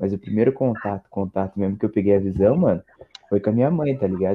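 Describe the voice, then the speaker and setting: A man with a normal speaking voice talks at a fairly low pitch, with ordinary pitch variation. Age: young. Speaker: podcast guest, rap fan. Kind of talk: casual chat.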